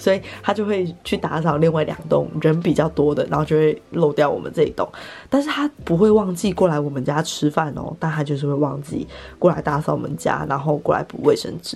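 Speaking at a fairly quick pace, a woman with a very deep, low pitch uses a relaxed tone, vocal fry and ordinary pitch variation. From Taiwan, Taipei. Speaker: podcaster and content creator. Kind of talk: casual solo chat. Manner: relaxed, laughs often.

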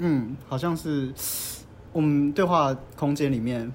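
This man speaks with a Taiwanese accent at a medium pitch. His tone is animated, and his pitch varies in an ordinary way. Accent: Taiwanese Mandarin. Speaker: podcast host. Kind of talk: casual chat. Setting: mahjong room venue. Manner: animated, frequent laughter.

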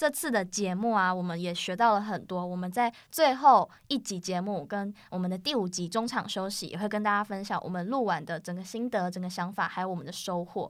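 A woman with an ordinary speaking voice talks at a fairly quick pace, with hardly any pauses, a medium pitch and ordinary pitch variation. The recording is very clean against a silent background. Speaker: college student podcast host. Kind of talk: casual chat.

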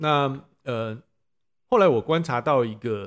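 This is a man speaking. His intonation is lively. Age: 50s. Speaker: parent of student, former tech executive. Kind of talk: interview. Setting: classroom.

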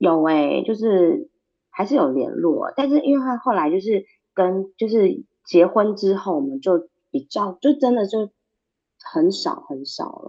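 A woman speaks fairly slowly at a medium pitch, her voice swinging very widely up and down. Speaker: tour guide and author. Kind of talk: interview.

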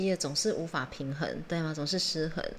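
In a room with audible echo and noticeable background noise, a woman speaks at a moderate pace with fairly even intonation. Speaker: podcast co-host. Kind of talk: casual chat.

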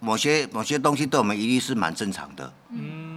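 An unremarkable speaking voice is heard here. Its intonation is lively. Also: man. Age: 60s. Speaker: leather craftsman. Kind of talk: interview.

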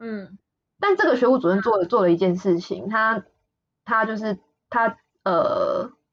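Very slowly, a woman speaks in a fairly high pitch. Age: 20s. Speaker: podcast co-host. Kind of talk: casual chat. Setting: remote recording.

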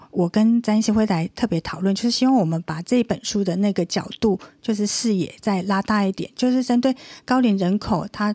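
A woman with a dark, mellow tone talks at a fairly quick pace with ordinary pitch variation. The recording is very clean with a silent background and a dry, close sound with no echo. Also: medium pitch for a woman. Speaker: radio co-host and university lecturer. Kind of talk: radio talk show interview.

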